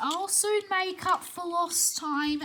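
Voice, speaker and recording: A woman speaks in a put-on character voice at an extremely high pitch. Clear background noise can be heard. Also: ordinary pitch variation. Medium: read story.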